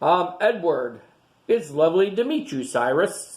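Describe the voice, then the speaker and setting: In a put-on character voice, a man talks at a high pitch with very wide pitch swings. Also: moderate pace. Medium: read story. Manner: polite.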